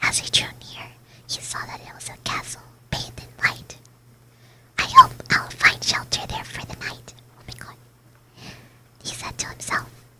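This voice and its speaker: A whisper at a moderate pace, noticeable background noise around it. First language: Spanish. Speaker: vtuber streamer. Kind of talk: ASMR bedtime story reading. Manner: whispering.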